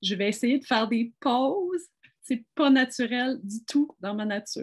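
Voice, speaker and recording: A plain, everyday voice comes from a woman at a fairly high pitch with ordinary pitch variation. She talks at a fairly slow pace over a quiet background. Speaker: physician. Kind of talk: panel discussion.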